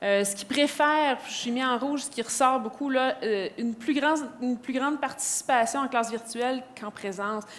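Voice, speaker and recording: A woman with a high pitch speaks with hardly any pauses and ordinary pitch variation. Noticeable background noise is present. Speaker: educational innovation advisor. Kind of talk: conference presentation. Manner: fast.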